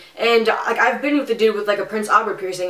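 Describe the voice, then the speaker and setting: Speaking at a very fast pace, a woman with an American accent sounds animated. Noticeable background noise runs underneath. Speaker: vlogger. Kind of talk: storytelling. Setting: home office. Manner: loud.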